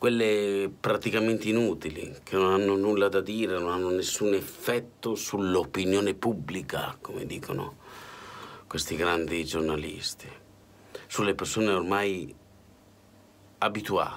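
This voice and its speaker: A man with a fairly low voice speaks at a fairly slow pace, his intonation fairly even and his speech broken by long, frequent pauses. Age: 40s. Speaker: political commentator. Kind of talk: spoken editorial. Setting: hotel room. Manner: impassioned. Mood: indignant, weary. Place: home room. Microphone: phone near.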